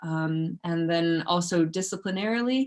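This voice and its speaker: A non-native accent comes through. Behind it, the background stays quiet. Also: woman. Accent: non-Icelandic. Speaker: researcher. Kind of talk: lecture. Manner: hesitant, many fillers.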